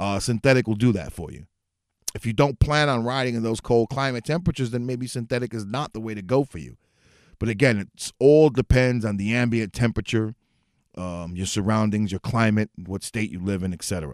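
A man with an American accent and a plain, everyday voice speaks at a fairly quick pace and medium pitch, with ordinary pitch variation and big swings in loudness. The recording is very clean, with a silent background and a dry, close sound with no echo. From New York City. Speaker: motorcycle podcast host. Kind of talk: casual solo talk show. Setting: home studio, livestream.

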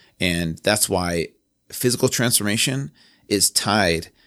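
A man with an American accent and vocal fry on a very clean recording with a silent background. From Southern California, then Virginia from age 13. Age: 30s. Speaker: fitness trainer and founder. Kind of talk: casual interview. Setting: podcast studio.

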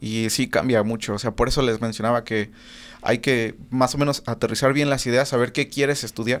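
A man with an unremarkable speaking voice at medium pitch and a moderate pace, fairly even intonation, and a very clean recording with a silent background. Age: 20s. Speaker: audio engineer. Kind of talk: casual chat. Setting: studio.

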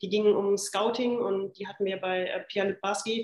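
Her intonation is monotone and flat as this woman talks at a medium pitch. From western Germany (Remscheid). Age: 30s. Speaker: football club general manager. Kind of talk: podcast interview.

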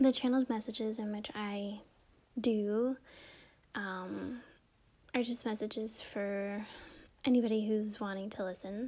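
A woman speaks at a fairly slow pace with a fairly high pitch and a relaxed tone. Her intonation is monotone and flat, broken by long, frequent pauses. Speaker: podcast host. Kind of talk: casual spiritual podcast monologue. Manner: relaxed, hesitant with fillers.

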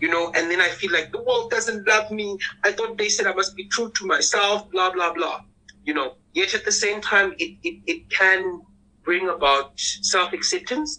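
A man's squeaky, bright, sharp voice, high in pitch, at a moderate pace. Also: ordinary pitch variation.

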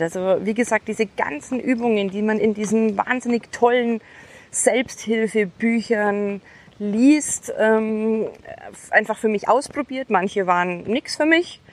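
A woman's normal speaking voice at a fairly slow pace, with ordinary pitch variation. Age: 30s. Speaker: podcast host. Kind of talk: motivational monologue. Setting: outdoors on horseback.

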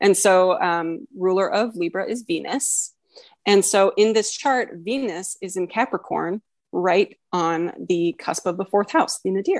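Against a quiet background, a woman with a plain, everyday voice talks at a fairly slow pace, her pitch medium with ordinary variation. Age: 20s. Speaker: guest co-host, astrologer. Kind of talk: casual chat.

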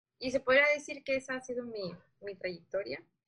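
Ordinary pitch variation accompanies a bright, sharp tone. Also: woman. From Chiapas, Mexico. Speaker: journalist and former model. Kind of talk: casual interview chat.

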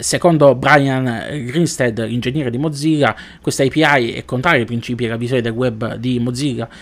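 A man speaks at medium pitch with ordinary pitch variation. His pace is fairly quick. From southern Italy, Foggia (Apulia). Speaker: tech podcast host. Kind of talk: news commentary podcast. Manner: hesitant with frequent fillers.

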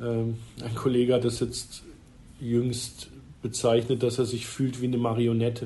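A man speaks at a medium pitch with a somewhat breathy, dark and mellow tone. His delivery is fairly slow and monotone, with audible room echo. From Freiburg, southwest Germany. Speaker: ice hockey club managing director. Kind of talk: interview.

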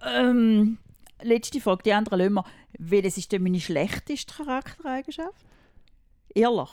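The voice has a dark, mellow tone and very wide pitch swings, moving at a moderate pace with long, frequent pauses. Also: woman, fairly high pitch for a woman. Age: 50s. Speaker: mother of the hosts. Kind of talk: casual chat.

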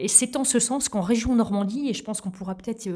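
Dark and mellow in tone, the woman's voice has a somewhat breathy quality. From Normandy, Calvados (Vire area). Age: 40s. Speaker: regional politician and mayor. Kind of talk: interview. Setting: in person at the guest's town. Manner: formal.

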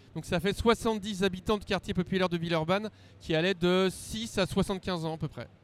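Recorded very cleanly against a silent background, a man with a high pitch talks at a moderate pace with fairly even intonation. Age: 40s. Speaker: tabletop role-playing game designer. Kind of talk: casual interview.

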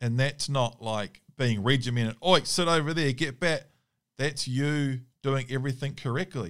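This man talks in a New Zealand accent at a medium pitch. He keeps a moderate pace with ordinary pitch variation. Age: 30s. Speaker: hunting dog trainer. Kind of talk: Q&A monologue. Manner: casual, with hesitations.

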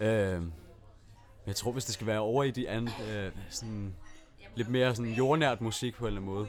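A man at a medium pitch, with fairly even intonation, a moderate pace and long, frequent pauses. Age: 20s. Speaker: composer and electronic musician. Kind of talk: casual chat. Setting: studio.

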